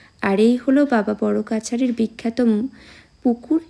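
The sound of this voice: A woman speaks at a fairly high pitch in a dark, mellow tone with vocal fry. Her intonation stays fairly even at a fairly slow pace.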